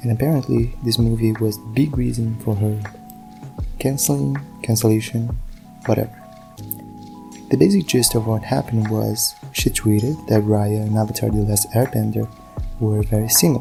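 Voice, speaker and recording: Someone speaks with a non-native accent. Music plays in the background. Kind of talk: video essay commentary. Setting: low-quality home recording.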